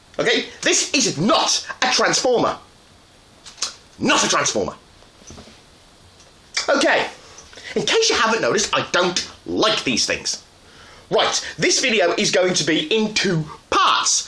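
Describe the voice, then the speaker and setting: Fairly slow speech broken by long, frequent pauses, with noticeable background noise. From Ireland. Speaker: toy reviewer. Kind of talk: casual talk to camera, toy review. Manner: chatty, ranting, sarcastic.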